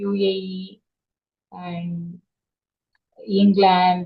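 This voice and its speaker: A woman speaks at a medium pitch with a Tamil accent. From South India, Tamil Nadu, Chennai. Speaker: teacher. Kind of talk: casual conversation practice. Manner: hesitant with fillers.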